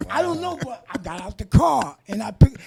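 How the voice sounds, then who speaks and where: A man speaks with a New York accent. His pace is fairly quick. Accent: New York City. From New York City (Bronx). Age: 50s. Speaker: actor. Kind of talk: casual chat.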